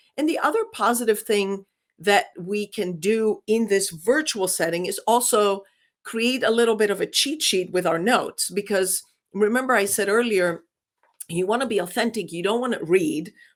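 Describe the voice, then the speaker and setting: The speaker has a Greek accent. The recording is very clean, with a silent background. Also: woman, fairly high pitch for a woman, ordinary pitch variation, moderate pace. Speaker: business communication professor. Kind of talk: interview.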